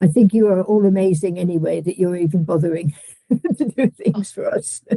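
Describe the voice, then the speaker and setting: The voice is somewhat breathy and dark, mellow in tone, moving at a moderate pace with ordinary pitch variation in a dry, close sound with no echo. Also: woman, medium pitch for a woman. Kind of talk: patient story testimony. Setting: video call. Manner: halting.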